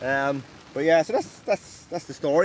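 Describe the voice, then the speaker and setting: Over light background noise, a man talks at a fairly quick pace with ordinary pitch variation, the sound dry with no echo. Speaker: angler vlogger. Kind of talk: casual vlog chat. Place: tent. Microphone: phone near.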